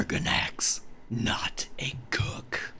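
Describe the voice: A man's raspy put-on character voice at medium pitch, with light background noise.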